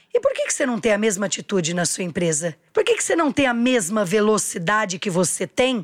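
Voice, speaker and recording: This woman talks in an animated tone, her pitch swinging very widely. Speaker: entrepreneur. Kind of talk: interview.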